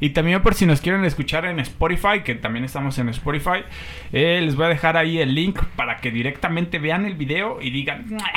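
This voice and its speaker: A man's voice, high in pitch, with noticeable noise in the background. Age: 20s. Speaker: podcast host. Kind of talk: casual chat. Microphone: poor audio quality.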